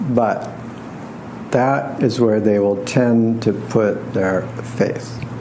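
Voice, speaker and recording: A man's medium-pitched voice at a very slow pace, with long, frequent pauses, very even loudness and fairly even intonation, amid audible room echo and noticeable background noise. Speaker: astrologer and tarot reader. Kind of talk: lecture.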